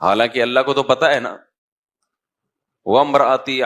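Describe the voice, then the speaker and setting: This man speaks at a medium pitch in an ordinary speaking voice. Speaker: Islamic scholar and preacher. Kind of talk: Islamic sermon (bayan) to an audience. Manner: fluent, engaging, preaching delivery.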